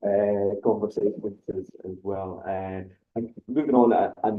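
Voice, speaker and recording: In a Scottish accent, a man talks with a fairly low pitch and fairly even intonation. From Scotland. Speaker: university recruitment officer. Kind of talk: webinar panel moderation.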